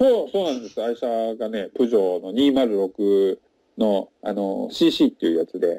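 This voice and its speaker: In a dry, close recording with no echo, a man speaks at a fairly slow pace. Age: 40s. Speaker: salesman and French learner. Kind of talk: casual interview. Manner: frequent fillers and hesitations.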